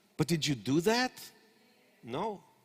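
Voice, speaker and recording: With an Israeli accent, a man speaks in an animated tone at a high pitch with very wide pitch swings, recorded dry and close with no echo. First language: Hebrew. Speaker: startup consultant. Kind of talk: conference lecture. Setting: stage with audience.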